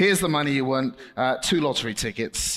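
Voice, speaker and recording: A man with a British accent speaks at a fairly slow pace, his intonation lively. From Britain. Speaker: children's preacher and ventriloquist. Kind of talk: children's ministry talk with puppet act. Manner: animated.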